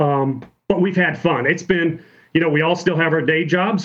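In a normal speaking voice, a man with a fairly high pitch speaks at a moderate pace. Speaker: automotive engineer and startup founder. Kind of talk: casual chat.

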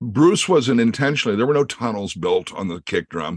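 Here a man talks in a Midwestern American accent at a fairly quick pace. The background is quiet. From US Midwest, Creston, Iowa. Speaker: session drummer. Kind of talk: interview.

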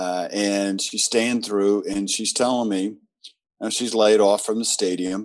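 An unremarkable speaking voice from a man with an American accent, medium in pitch, fairly slow, with fairly even intonation and a quiet background. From US South. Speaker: labor union leader. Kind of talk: interview.

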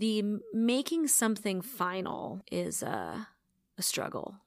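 In an ordinary speaking voice, a woman talks at a medium pitch with ordinary pitch variation, on a very clean recording with a silent background. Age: 30s. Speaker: musician. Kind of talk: casual chat. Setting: hotel.

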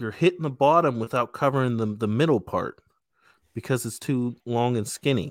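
An unremarkable speaking voice moves at a moderate pace with ordinary pitch variation. The recording is very clean and silent behind it, with a dry, close sound and no echo. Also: man. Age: 30s. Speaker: podcast host. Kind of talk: casual chat.

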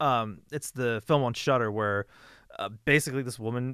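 A man's plain, everyday voice, medium in pitch, with fairly even intonation and a moderate pace, recorded against a quiet background with a dry, close sound and no echo. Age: 30s. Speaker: podcast host. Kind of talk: casual chat.

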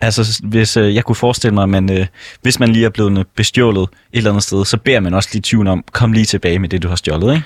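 Speaking at a very fast pace with very even loudness, a man's fairly low voice comes through a very clean recording with a silent background and a dry, close sound with no echo. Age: 20s. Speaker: stand-in radio host. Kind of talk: casual radio chat.

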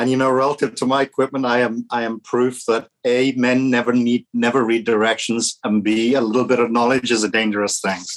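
A man with a Welsh accent, monotone and flat, at a fairly quick pace with hardly any pauses and very even loudness. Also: medium pitch for a man. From Wales. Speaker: vacation rental business owner. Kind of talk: podcast interview.

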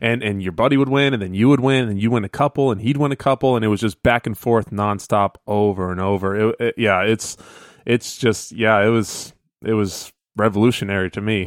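A man speaks at a fairly quick pace in an ordinary speaking voice, fairly low in pitch with ordinary pitch variation. The sound is dry and close, with no echo. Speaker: guest co-host of gaming podcast. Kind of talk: casual chat. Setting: remote call from vacation.

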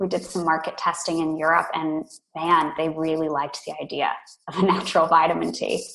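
A woman talks at a fairly quick pace with an American accent. Her pitch is fairly low and her intonation monotone and flat. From California. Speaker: tea company co-founder. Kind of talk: interview.

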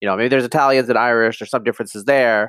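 Fairly even intonation with an American accent. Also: man. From US, upstate New York and eastern Oregon. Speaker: geneticist and cultural commentator. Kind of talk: interview conversation.

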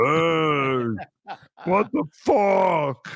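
A man's fairly high, put-on character voice.

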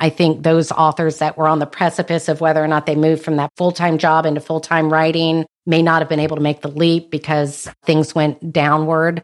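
A fairly quick, monotone delivery with flat intonation and hardly any pauses, in an American accent, on a very clean recording with a silent background. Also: woman, very deep, low pitch for a woman. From North Carolina. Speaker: author. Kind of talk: interview.

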